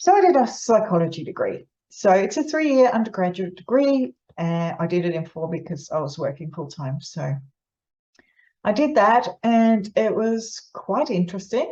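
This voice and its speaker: A woman talks at a medium pitch with very wide pitch swings. Her voice is somewhat breathy, with a dark, mellow tone. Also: moderate pace. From Netherlands. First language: Dutch. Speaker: psychologist. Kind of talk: informal explainer to camera. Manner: conversational, with many fillers and restarts.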